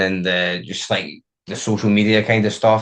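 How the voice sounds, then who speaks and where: At a moderate pace and with a Scottish accent, the speaker talks over a quiet background. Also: man. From Scotland. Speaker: DJ and music producer. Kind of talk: interview. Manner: casual, many fillers.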